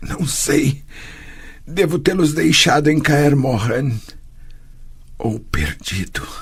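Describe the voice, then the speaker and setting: In a put-on character voice, the speaker sounds strained and tearful, going at a very slow pace with long, frequent pauses and ordinary pitch variation. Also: man, fairly high pitch for a man. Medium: read story. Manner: tearful, strained.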